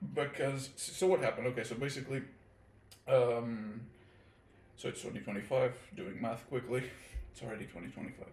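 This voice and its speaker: A man of medium pitch with a slight Portuguese accent, at a fairly quick pace, with long, frequent pauses, big swings in loudness and ordinary pitch variation. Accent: near-native English, slight Portuguese. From Portugal. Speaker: guest, friend of host. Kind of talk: casual chat.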